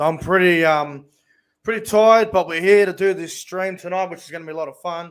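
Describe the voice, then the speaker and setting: A man's high voice in an Australian accent, fairly quick and fairly even in intonation. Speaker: rugby league YouTuber. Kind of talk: casual live stream chat.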